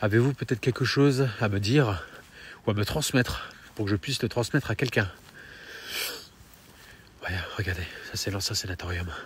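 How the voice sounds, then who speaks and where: A man's fairly low, somewhat breathy voice, with long, frequent pauses. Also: ordinary pitch variation, moderate pace. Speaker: paranormal investigator youtuber. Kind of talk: on-location vlog narration. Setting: outdoors at night in the rain. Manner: soft-spoken; hesitant, filler-heavy.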